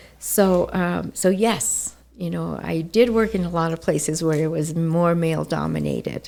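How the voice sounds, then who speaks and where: A woman talks at a moderate pace, hardly pausing at all. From Mexico-born, raised in the US by immigrant parents. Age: 60s. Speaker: realtor and nonprofit founder. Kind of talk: interview. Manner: hesitant.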